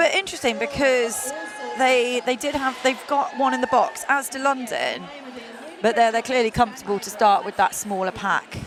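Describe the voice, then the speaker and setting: Over crowd noise in the background, a woman speaks at a moderate pace in an animated tone, her high voice carrying lively intonation. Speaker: roller derby commentator. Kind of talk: live commentary.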